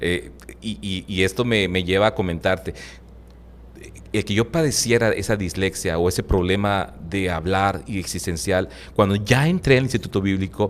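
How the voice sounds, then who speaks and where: Speaking at a moderate pace, a man uses a fairly low pitch. His pitch variation is ordinary. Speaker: Bible teacher. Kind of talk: interview, preaching style. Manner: fluent, talkative.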